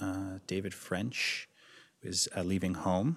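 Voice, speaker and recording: This man has a fairly low pitch, a moderate pace and an Ontario accent, captured in a very clean recording with a silent background. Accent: Canadian (Ontario). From Ontario, Canada (Toronto suburbs). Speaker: theatre designer. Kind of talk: interview. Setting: library of a theatre.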